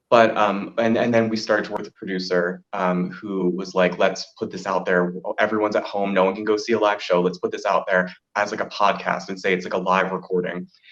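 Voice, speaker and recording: Speaking at a fairly quick pace, a man with a fairly low pitch keeps a monotone, flat intonation. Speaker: drag performer and singer. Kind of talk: interview conversation.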